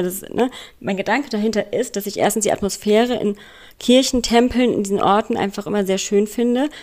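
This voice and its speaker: At a moderate pace, a woman with a normal speaking voice and medium pitch talks with fairly even intonation. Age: 30s. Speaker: escort. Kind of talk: recorded voice message.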